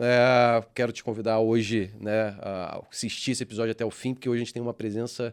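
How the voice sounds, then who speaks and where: In a very clean recording with a silent background, an ordinary speaking voice talks at a fairly quick pace. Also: man. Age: 30s. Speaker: podcast host, franchise owner. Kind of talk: casual interview chat.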